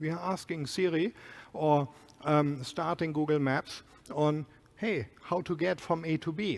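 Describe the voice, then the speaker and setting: A man with a fairly high pitch and a German accent talks at a fairly slow pace. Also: ordinary pitch variation. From Germany. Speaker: keynote speaker, business executive. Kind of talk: conference keynote.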